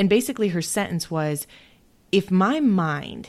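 A woman with an ordinary speaking voice and fairly low pitch talks at a fairly slow pace with lively intonation in a very clean recording with a silent background. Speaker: podcast host. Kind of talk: interview, casual chat.

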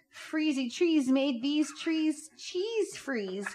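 A woman speaks over noticeable background noise. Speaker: guest reading tongue twisters. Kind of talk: playful reading aloud of tongue twisters.

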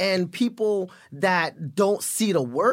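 The speaker is a man with an American accent. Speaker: actor. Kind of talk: casual chat.

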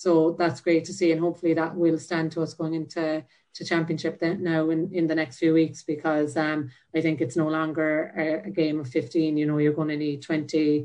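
In a Cork accent, a woman speaks at a moderate pace with a very deep, low pitch and monotone, flat intonation. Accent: Cork Irish. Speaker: Gaelic footballer. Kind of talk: interview.

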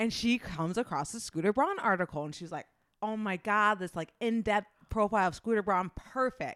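Here is a woman with a strong Midwestern US accent. Her pitch sits fairly high. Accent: Midwestern US, thick. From US Midwest. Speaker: podcast host. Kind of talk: casual banter podcast chat. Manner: teasing, playful.

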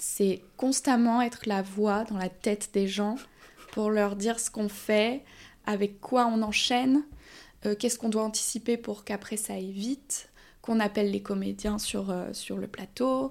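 A woman talks fairly slowly at a medium pitch. Her intonation is fairly even, in an unremarkable speaking voice. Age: 20s. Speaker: film assistant director. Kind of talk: casual interview.

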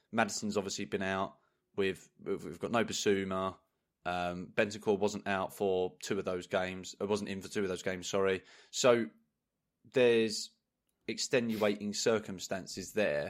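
Here is a man with a plain, everyday voice, fairly low in pitch and fairly even in intonation. He keeps a moderate pace, and the recording is very clean with a silent background. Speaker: podcast co-host, football fan. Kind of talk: casual chat.

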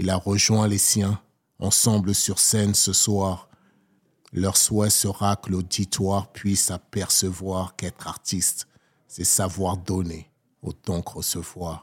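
On a very clean recording with a silent background, a man with a fairly low pitch speaks very slowly in a monotone, flat intonation. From Togo, then Paris region from age 7. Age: 40s. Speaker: poet. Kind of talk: poetry performance. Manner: soft.

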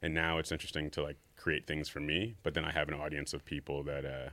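Very fast and very deep in pitch, a man speaks with vocal fry, a bright, sharp tone and fairly even intonation. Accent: American. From New York. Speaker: sneaker designer. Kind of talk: casual interview.

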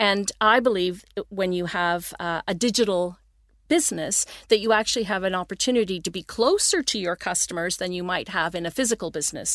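On a very clean recording with a silent background and a dry, close sound with no echo, a woman with a Canadian accent and an unremarkable speaking voice talks at medium pitch and a fairly quick pace with ordinary pitch variation. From Canada (Toronto, Ontario). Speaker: entrepreneur. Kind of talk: interview. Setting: studio.

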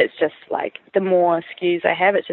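A woman speaks in a New Zealand accent at a fairly quick pace. Her pitch is fairly low and her intonation fairly even. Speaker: food startup founder. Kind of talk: interview.

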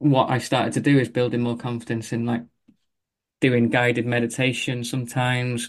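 Against a quiet background, a man talks at a moderate pace and medium pitch in a monotone, flat intonation. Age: 40s. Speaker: running coach. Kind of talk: casual interview.

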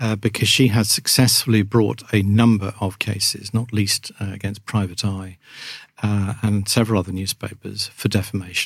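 Somewhat breathy, a man with an English accent speaks at a fairly low pitch and a moderate pace in a monotone, flat way, on a very clean recording with a silent background. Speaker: journalist and author. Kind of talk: interview. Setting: studio.

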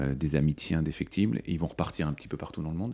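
Dark and mellow in tone, a man's very deep, low voice moves with ordinary pitch variation. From France (Paris), early childhood in India. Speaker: business school dean. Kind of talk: interview. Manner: hesitant, many fillers.

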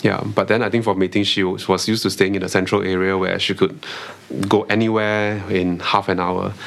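A man speaks at a fairly quick pace with monotone, flat intonation. Noticeable background noise can be heard. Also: fairly low pitch for a man. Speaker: private tutor. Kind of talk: casual interview chat. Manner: hesitant, many fillers.

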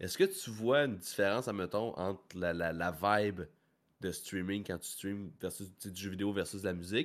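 In a very clean recording with a silent background, a man with a Quebec accent speaks in a fairly low voice with ordinary pitch variation. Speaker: podcast host. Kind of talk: casual chat. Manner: laughs often.

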